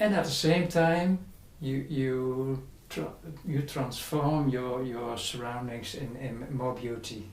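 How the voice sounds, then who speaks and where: The speaker talks very slowly with a Dutch accent. Noticeable background noise sits behind the voice. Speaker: spiritual teacher. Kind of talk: interview. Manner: halting.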